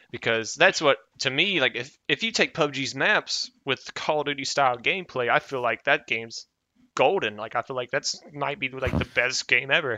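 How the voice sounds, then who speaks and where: A man with a plain, everyday voice talks at a moderate pace, his medium pitch showing ordinary variation. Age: 20s. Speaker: podcast co-host. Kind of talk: casual chat.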